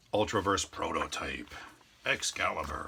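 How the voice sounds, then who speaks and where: There is noticeable background noise behind a man as he speaks. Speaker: YouTuber showing a yard sale comic haul. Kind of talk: casual walkthrough video. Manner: fast.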